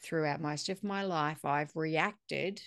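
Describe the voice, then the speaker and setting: A woman with an Australian accent, very deep and low in pitch, at a fairly slow pace with ordinary pitch variation against a quiet background. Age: 40s. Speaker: podcast host. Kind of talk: casual interview chat.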